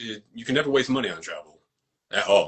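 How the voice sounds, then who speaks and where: A man is speaking. He has an American accent. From New York. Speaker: actor and fight choreographer. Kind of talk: casual interview chat. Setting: social media live video.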